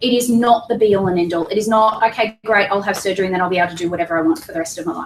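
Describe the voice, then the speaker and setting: The speaker talks at a very fast pace with an Australian accent and hardly any pauses. Pitch variation is ordinary. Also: woman, medium pitch for a woman. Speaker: weight loss clinic staff presenter. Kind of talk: information seminar presentation. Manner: animated.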